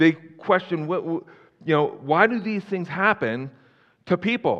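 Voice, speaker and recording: With ordinary pitch variation, this man keeps to a moderate pace. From Philadelphia area, US. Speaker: pastor. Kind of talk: sermon. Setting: church. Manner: hesitant, many fillers.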